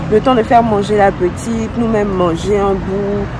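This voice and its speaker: The speech moves at a very slow pace with ordinary pitch variation, while audible room echo and noticeable background noise surround it. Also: woman. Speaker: vlogger. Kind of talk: casual vlog talk to camera. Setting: outdoors. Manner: soft-spoken.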